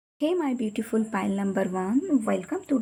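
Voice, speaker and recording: Speaking at a moderate pace, a woman talks. She has a Bengali accent. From Bengal, India. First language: Bengali (speaking Hindi). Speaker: tarot reader. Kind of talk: tarot card reading. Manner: casual.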